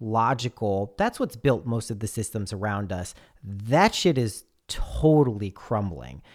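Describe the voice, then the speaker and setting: A man's normal speaking voice at a fairly slow pace, with ordinary pitch variation, on a very clean recording with a silent background. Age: 30s. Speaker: podcast guest. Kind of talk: casual chat.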